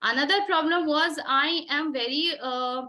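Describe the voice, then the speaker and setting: A woman projects her raised, high voice with a bright, sharp tone and ordinary pitch variation. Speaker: interview prep trainer. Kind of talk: online coaching session. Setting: online session from home room. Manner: loud.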